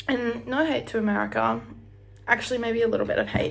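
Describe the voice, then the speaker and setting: A woman talks, and the room's echo can be heard. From Australia, Brisbane. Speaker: vlogger. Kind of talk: casual chat. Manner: animated.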